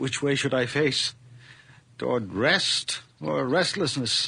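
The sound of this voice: In a put-on character voice, a man speaks slowly at medium pitch with ordinary pitch variation, a slightly husky edge, vocal fry and a bright, sharp tone.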